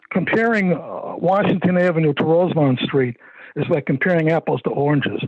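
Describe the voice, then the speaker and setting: With an American accent, a man speaks at a high pitch with ordinary pitch variation. His loudness stays very even. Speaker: property owner speaking at public hearing. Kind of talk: public comment at council meeting. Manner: fast; halting.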